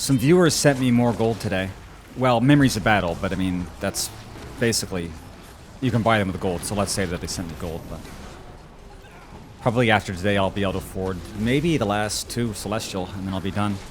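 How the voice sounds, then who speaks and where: Against noticeable background noise, a man with a fairly low pitch and ordinary pitch variation talks at a fairly quick pace, broken by long, frequent pauses. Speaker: video game livestreamer. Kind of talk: casual gaming livestream chat. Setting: livestream. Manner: fast.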